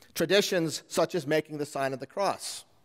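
A man with high pitch and ordinary pitch variation, against a quiet background. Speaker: pastor. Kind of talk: sermon. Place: church. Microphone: podium.

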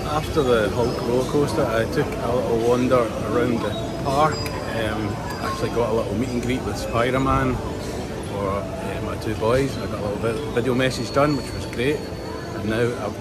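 Loud background noise runs under a man's voice. He talks at a moderate pace with hardly any pauses. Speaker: travel vlogger. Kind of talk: casual vlog chat. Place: street. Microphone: phone near.

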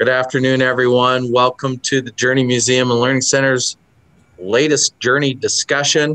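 A man of medium pitch speaks at a moderate pace in a bright, sharp tone with monotone, flat intonation. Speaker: museum executive director. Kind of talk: interview host. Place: office. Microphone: video call.

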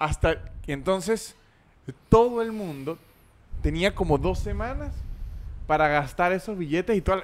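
A man with a high pitch speaks at a fairly slow pace, using ordinary pitch variation and long, frequent pauses. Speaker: podcast host. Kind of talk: casual comedy chat. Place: studio. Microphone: studio mic.

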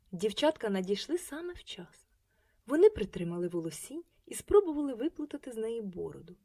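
What you hear is a natural reading voice. It stays that way throughout.

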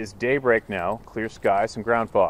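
A man at a moderate pace, his sound dry with no echo. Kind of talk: personal account read aloud. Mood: earnest, steady storytelling. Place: waterside.

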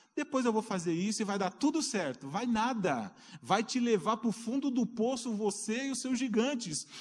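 A man speaks with a high-pitched voice. His tone is animated, with ordinary pitch variation. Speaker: preacher. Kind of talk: sermon. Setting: church. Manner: animated, fervent preacher in full flow, calling out to the congregation; rising, exhortative cadence with rhetorical questions and repeated 'queridos'. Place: church.

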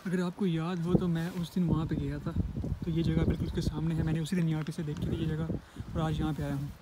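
A man with a fairly high pitch and a dark, mellow tone talks fast with little pitch movement.

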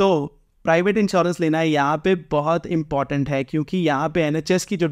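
With an Indian accent, a man speaks at a fairly high pitch with fairly even intonation against a quiet background. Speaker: vlogger. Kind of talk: informal explainer vlog. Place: home room.

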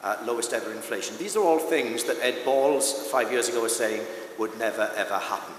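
With a South Wales accent, a man speaks fairly quickly at medium pitch and ordinary pitch variation. Room echo is audible, along with light background noise. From South Wales, Swansea Valley. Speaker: parliamentary candidate; candidate. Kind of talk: political debate. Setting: stage with live audience, broadcast on radio. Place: stage. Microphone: podium.

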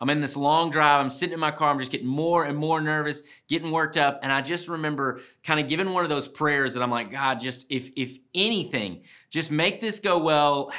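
Over a quiet background, a man with a bright, sharp tone and ordinary pitch variation talks at a fairly quick pace. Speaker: speaker. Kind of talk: devotional talk to camera. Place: studio.

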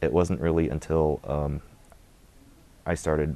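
A man with a Midwestern accent speaks at a fairly slow pace with a very deep, low pitch and a dark, mellow tone. His delivery is flat and monotone with vocal fry, and the sound is dry with no echo. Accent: general American, Midwestern. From US Midwest (Michigan). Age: 20s. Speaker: convert to Islam. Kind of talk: testimony. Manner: hesitant, many filler words. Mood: reflective, calm. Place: studio. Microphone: lapel.

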